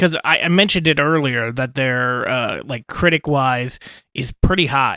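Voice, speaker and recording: The man has a bright, sharp tone and a medium pitch with ordinary pitch variation. He talks at a moderate pace, with a dry, close sound and no echo. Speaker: podcast host. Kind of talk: casual podcast talk.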